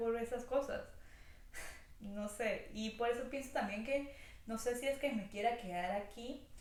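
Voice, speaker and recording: A woman's fairly high voice at a fairly slow pace, with fairly even intonation, noticeable background noise and audible room echo. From Venezuela, Táchira, near Colombian border. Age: 20s. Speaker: vlogger. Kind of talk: casual vlog monologue.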